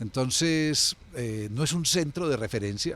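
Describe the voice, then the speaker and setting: Pitched at a medium level, a man's voice varies in pitch in an ordinary way. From Colombia, Medellín (Antioquia). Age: 60s. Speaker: former city culture official. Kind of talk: interview. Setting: café. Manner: hesitant, with fillers.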